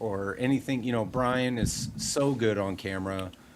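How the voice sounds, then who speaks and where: The pace is moderate. Pitch variation is ordinary. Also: man. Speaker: guitar YouTuber, live stream co-host. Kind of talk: casual chat. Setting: live stream. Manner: halting, says um and ah.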